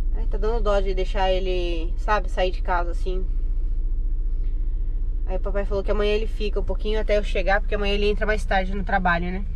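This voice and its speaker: A woman talks at a fairly quick pace. The sound is dry with no echo, over light background noise. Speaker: mother vlogger. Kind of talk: casual vlog chat. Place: car. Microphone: phone near.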